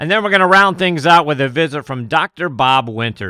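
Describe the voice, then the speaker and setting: A plain, everyday voice, ordinary in pitch variation and moderate in pace. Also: man. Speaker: golf podcast host. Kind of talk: interview with guests, host intros.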